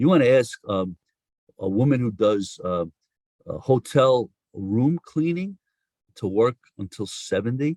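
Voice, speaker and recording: In a New York accent, a man talks at a fairly slow pace with long, frequent pauses and very wide pitch swings, the sound dry and close with no echo. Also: medium pitch for a man. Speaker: social insurance policy expert. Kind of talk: podcast interview.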